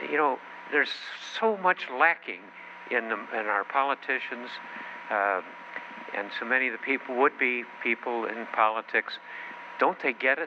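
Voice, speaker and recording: Amid noticeable background noise, a man with an American accent talks with ordinary pitch variation and long, frequent pauses. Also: medium pitch for a man, moderate pace. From Chicago, US Midwest. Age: 90s. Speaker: company founder and political speaker. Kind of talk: political speech. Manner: halting, many fillers.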